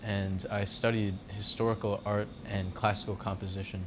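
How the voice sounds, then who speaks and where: Speaking fairly quickly, a man with an American accent talks at a fairly low pitch. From New York, Long Island. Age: 20s. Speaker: blacksmith and artist. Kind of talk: casual documentary interview and demonstration. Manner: casual, relaxed.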